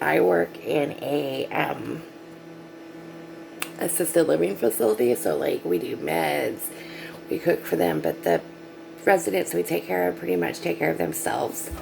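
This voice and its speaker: Over music in the background, a quiet woman with a very deep, low pitch talks at a moderate pace, her pitch swinging very widely between long, frequent pauses. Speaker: nurse's aide. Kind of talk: casual vlog. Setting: at work, night shift.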